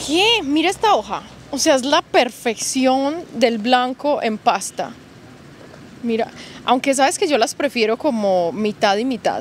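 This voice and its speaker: A woman with a Medellín Colombian accent talks fairly slowly at a high pitch with lively intonation. Light background noise can be heard. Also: dry sound with no echo. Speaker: YouTuber plant channel host. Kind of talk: casual vlog tour chat. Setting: outdoors in a plant nursery. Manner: animated, excitable. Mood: warm, enthusiastic. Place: shop.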